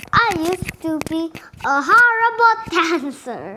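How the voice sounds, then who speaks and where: A woman puts on a character voice with extremely high pitch, very wide pitch swings and a fairly slow pace. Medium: read story. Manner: halting, read aloud by a learner.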